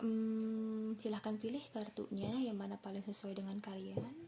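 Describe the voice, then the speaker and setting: A woman speaks at a fairly slow pace in a relaxed tone, her pitch fairly high. Noticeable background noise can be heard. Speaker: tarot reader. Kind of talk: tarot reading to camera. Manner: relaxed, casual.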